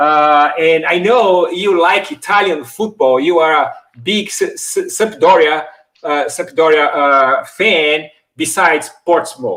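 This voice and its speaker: A man speaks at a very slow pace in a high voice. His tone is bright and sharp. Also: ordinary pitch variation. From Brazil. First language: Portuguese. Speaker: YouTube host, football shirt collector. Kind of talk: casual chat. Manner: animated.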